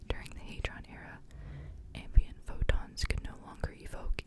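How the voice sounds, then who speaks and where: There is noticeable background noise behind a person whispering. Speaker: ASMR creator and book reader. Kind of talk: ASMR book reading with occasional commentary. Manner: whispered, relaxing.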